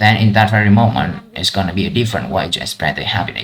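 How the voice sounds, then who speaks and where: Noticeable background noise accompanies a man speaking with a Vietnamese accent at a fairly low pitch with ordinary pitch variation. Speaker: IELTS practice vlogger. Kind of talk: speaking test practice. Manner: halting.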